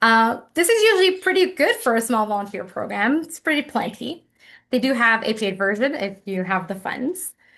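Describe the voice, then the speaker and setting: A woman talks at a fairly high pitch with very wide pitch swings. Behind her the background stays quiet. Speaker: webinar presenter. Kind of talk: webinar presentation. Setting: online webinar. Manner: fast.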